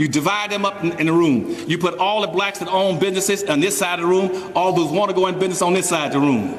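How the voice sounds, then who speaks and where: A man talks at a very fast pace in a high pitch, with ordinary pitch variation. Noticeable background noise and audible room echo surround his voice. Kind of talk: speech to a live audience. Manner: animated.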